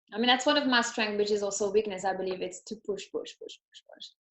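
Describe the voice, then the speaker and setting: A woman speaks with a French accent. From France. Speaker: entrepreneur. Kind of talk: interview. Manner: halting.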